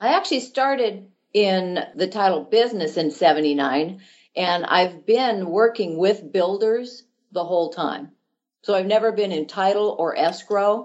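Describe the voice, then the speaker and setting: Delivered at a fairly slow pace, this is an unremarkable speaking voice with ordinary pitch variation. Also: woman, medium pitch for a woman. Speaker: title company manager for land development. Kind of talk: interview.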